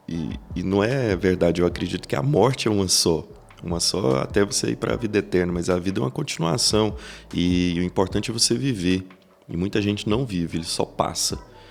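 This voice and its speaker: A man speaks at a very deep, low pitch. His pace is fairly quick and his intonation lively. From Brazil, Goiás interior near Iporá. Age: 30s. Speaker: business executive. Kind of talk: podcast interview.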